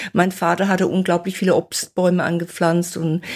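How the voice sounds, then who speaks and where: A woman's monotone, flat voice in a very clean recording with a silent background. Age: 60s. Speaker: nutrition author and fasting expert. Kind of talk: interview.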